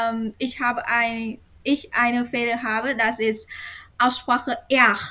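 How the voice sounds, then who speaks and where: A woman talks at a very slow pace with a Vietnamese accent. Her voice is high-pitched with a bright, sharp tone. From Vietnam, near Hanoi. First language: Vietnamese (speaking German). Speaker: university student of German. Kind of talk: reading aloud; casual interview. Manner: halting.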